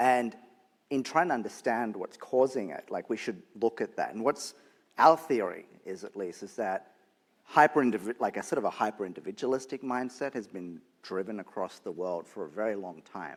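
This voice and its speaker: A man with an Australian accent talks at a moderate pace and medium pitch, with lively intonation and big swings in loudness. The recording is very clean, with a silent background. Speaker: nonprofit leader. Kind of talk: panel discussion.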